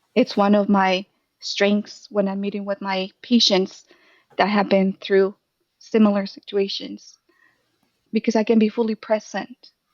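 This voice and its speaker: Woman with a Spanish accent, medium pitch, monotone, flat intonation, a fairly slow pace and long, frequent pauses. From Mexico, Jalisco. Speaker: therapist. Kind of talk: casual chat.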